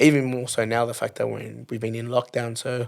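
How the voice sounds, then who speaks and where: In an Australian accent, a man speaks at a medium pitch with monotone, flat intonation. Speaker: singer. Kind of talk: interview.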